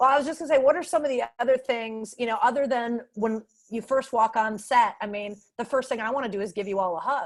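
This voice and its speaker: Loud and high-pitched, a woman speaks very fast with ordinary pitch variation. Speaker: panel moderator. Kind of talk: panel discussion over video call.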